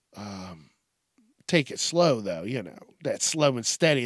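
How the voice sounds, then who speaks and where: The sound is dry and close with no echo as a man with a slight Southern US accent speaks at a moderate pace, in a medium pitch with ordinary pitch variation. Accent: slight Southern twang at times. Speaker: solo podcast host. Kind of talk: comedic rant monologue. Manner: animated.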